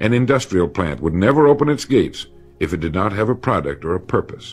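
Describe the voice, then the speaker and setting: Over music in the background, a man with a fairly low pitch talks at a fairly quick pace, his pitch swinging very widely. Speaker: motivational speaker. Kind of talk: motivational speech narration. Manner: measured, authoritative.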